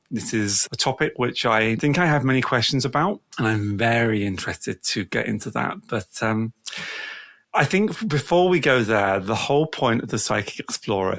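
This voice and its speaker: A British accent at a moderate pace, with lively intonation and a dry, close sound with no echo. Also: man. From England. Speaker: podcast host. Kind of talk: casual interview.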